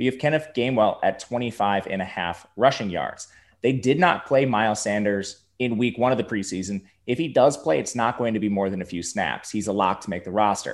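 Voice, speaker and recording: An ordinary speaking voice from a man, fairly low in pitch with ordinary pitch variation, at a fairly quick pace on a very clean recording with a silent background. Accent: American. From Wisconsin, Milwaukee. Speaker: fantasy sports analyst. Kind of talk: casual chat.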